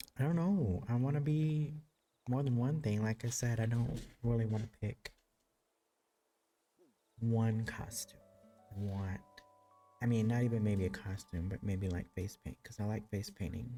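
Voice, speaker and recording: Soft-spoken delivery with long, frequent pauses over music in the background. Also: moderate pace. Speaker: streamer. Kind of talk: casual gameplay commentary. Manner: soft-spoken, quiet.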